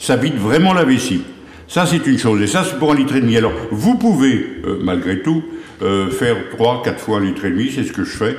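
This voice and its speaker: A man of medium pitch speaks at a fairly quick pace with very wide pitch swings, against noticeable background noise and audible room echo. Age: 70s. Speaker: herbal remedies expert. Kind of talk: TV interview, health advice. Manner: hesitant, many fillers.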